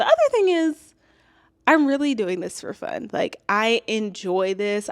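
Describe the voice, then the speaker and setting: In a very clean recording with a silent background, a woman uses an ordinary speaking voice with lively intonation at a fairly slow pace. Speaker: YouTuber and teacher. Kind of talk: vlog monologue. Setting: home, toddler sleeping. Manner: casual.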